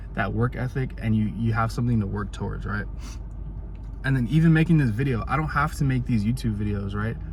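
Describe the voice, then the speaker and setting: Audible echo from the room surrounds this man's speech. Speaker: motivational vlogger. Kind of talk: casual motivational monologue. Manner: fast; animated.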